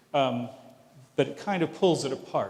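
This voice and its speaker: A man talks over noticeable background noise. The room echo is audible. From Canada, Vancouver (Pacific Northwest). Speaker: professor. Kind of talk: lecture Q&A answer. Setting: lecture hall with audience. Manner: halting, many restarts.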